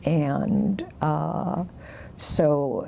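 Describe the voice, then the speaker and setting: A woman's very deep, low voice with ordinary pitch variation, over noticeable background noise. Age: 70s. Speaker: oral history interviewee. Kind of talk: oral history interview. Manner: halting, many fillers.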